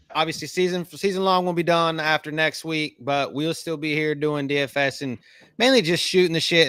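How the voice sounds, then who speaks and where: With a strong Southern US accent, a man speaks at a fairly high pitch and moderate pace in a bright, sharp, animated tone, on a very clean recording with a silent background and a dry, close sound with no echo. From US South. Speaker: podcast host. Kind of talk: casual chat.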